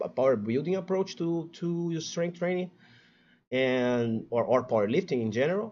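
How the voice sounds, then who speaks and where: This man speaks with a Portuguese accent. His intonation is lively. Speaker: fitness content creator. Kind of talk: casual livestream chat. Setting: live stream. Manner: stuttering.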